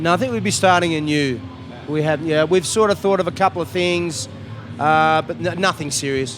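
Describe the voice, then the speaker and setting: A man speaks in an Australian accent at a fairly high pitch and a moderate pace, with ordinary pitch variation. Music plays in the background. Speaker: rock musician. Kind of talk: interview. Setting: music festival.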